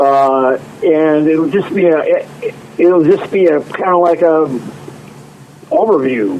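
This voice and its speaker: Over noticeable background noise, a man talks very slowly with long, frequent pauses and a fairly high pitch. His loudness stays very even and his pitch varies in an ordinary way. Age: 60s. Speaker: drummer and singer-songwriter. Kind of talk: interview.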